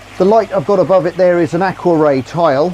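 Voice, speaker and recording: Noticeable background noise sits behind the speaker. He is a man with a high pitch and ordinary pitch variation. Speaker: aquarium hobbyist youtuber. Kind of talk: tutorial. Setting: outdoors by a pond. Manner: loud; casual.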